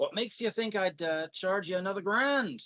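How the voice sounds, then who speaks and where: A female-sounding, put-on character voice comes through gruff at a middle pitch. The pace is moderate. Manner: pleasant.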